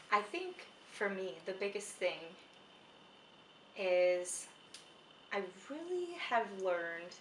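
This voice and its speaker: Over noticeable background noise and audible room echo, a woman speaks at a very slow pace with lively intonation. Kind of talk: casual chat. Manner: loud.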